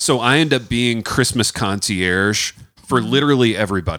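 In a very clean recording with a silent background, a man speaks with a bright, sharp tone at a medium pitch and with ordinary pitch variation. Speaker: author and college writing teacher. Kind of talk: casual, joking interview. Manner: joking, rambling.

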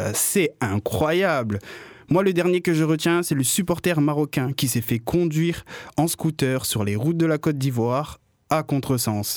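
On a very clean recording with a silent background, a man with a slight Marseille accent speaks at a fairly slow pace, his fairly high voice showing lively intonation and very even loudness. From Réunion. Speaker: radio columnist and comedian. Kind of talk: comic radio chronicle.

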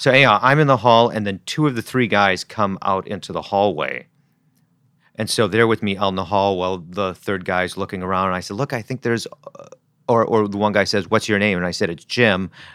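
A man with an American accent, a bright, sharp tone, fairly low pitch, ordinary pitch variation and a fairly quick pace. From US Midwest, Wisconsin. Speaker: writer and filmmaker. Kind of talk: interview. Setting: in-person interview. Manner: halting, repeats words.

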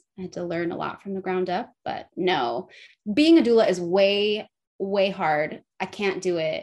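A woman with an American accent speaks at a fairly slow pace, her pitch medium. Her intonation is lively, and her loudness swings widely. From California, South Lake Tahoe. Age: 30s. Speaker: midwife. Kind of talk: interview conversation.

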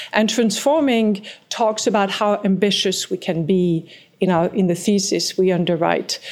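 In a French accent, a woman speaks at a moderate pace and medium pitch, with ordinary pitch variation and very even loudness. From France, small mountain village. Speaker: private equity partner. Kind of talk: interview.

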